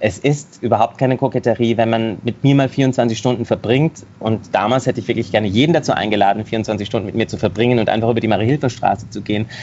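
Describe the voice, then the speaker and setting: Fairly even intonation runs through delivery at a very fast pace. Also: man, medium pitch for a man. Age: 40s. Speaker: singer, dancer and actor. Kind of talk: interview. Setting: video call.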